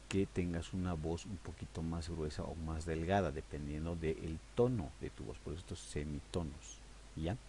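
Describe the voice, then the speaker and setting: This man's voice is very deep and low, with a dark, mellow tone and vocal fry, and he talks at a fairly slow pace. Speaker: audio editing teacher. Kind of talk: tutorial. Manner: conversational, hesitant fillers.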